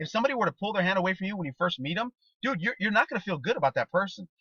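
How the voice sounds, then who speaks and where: A man speaks in a raised, projected voice at a high pitch, with very wide pitch swings and an animated tone. His tone is bright and sharp, and the sound is dry and close with no echo. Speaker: network marketing trainer. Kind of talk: motivational training talk. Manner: fast.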